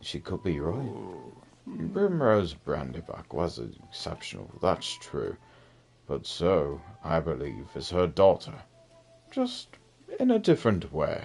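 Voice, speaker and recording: A put-on character voice at a fairly slow pace, with long, frequent pauses. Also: man, very deep, low pitch for a man. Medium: game stream. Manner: measured, knowing, cryptic.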